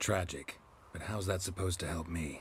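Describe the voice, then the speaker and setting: A man puts on a character voice, very deep and low, in a deadpan tone. He talks at a moderate pace over clear background noise. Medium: video game. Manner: terse, clipped, deadpan.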